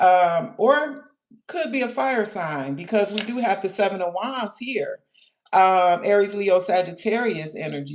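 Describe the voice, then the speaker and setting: Speaking at a fairly slow pace, a woman uses a normal speaking voice at a medium pitch. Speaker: tarot reader. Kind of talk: live tarot reading. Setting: livestream.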